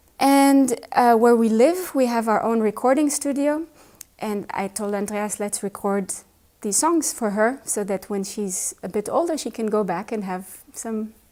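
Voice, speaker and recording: With an Israeli accent, a woman speaks at a fairly slow pace. Her voice is fairly high, with lively intonation. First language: Hebrew. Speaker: pianist. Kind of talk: interview.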